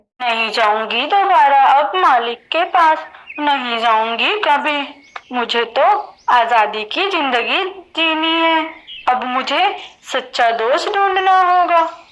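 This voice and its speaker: A cartoonish character voice, female-sounding and high-pitched. She talks at a very slow pace. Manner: sorrowful, complaining.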